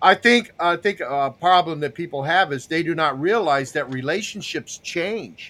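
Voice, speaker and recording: A man talks at a moderate pace with hardly any pauses. His high voice has a bright, sharp tone and ordinary pitch variation. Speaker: podcast host. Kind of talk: casual chat. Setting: live video call panel.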